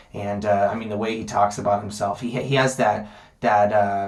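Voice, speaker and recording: A man's fairly low-pitched voice comes with audible room echo. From Las Vegas, US. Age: 20s. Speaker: MMA vlogger. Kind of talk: casual monologue. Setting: sitting on toilet at home. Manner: fast; many filler ums.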